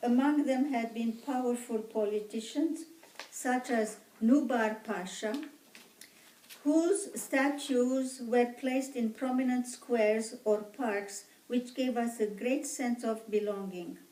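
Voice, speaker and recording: A woman speaks in a high pitch with an Armenian accent. Her pace is very slow. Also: ordinary pitch variation. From Egypt. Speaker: genocide survivor descendant interviewee. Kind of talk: interview.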